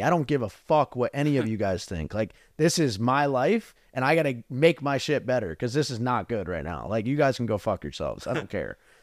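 A man with an American accent talks at a fairly quick pace in a medium-pitched, unremarkable speaking voice with lively intonation. The recording is very clean with a silent background, and the sound is dry and close with no echo. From New Jersey. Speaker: business coach. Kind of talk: casual interview.

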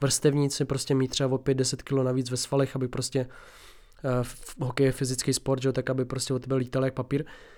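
Speaking at a moderate pace, a man uses a medium pitch and monotone, flat intonation. The recording is very clean with a silent background. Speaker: fitness podcast host. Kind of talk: solo casual monologue. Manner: halting, many fillers.

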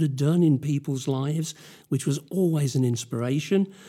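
A man with a British accent speaks at a moderate pace in a dark, mellow tone. His pitch is fairly high, with ordinary variation. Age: 70s. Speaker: church elder. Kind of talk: interview telling history, using notes.

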